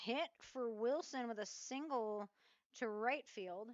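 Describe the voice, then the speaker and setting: Speaking at a very slow pace, a woman's voice is loud and high. Her pitch variation is ordinary. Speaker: local sports play-by-play announcer. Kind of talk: live commentary. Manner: casual, conversational.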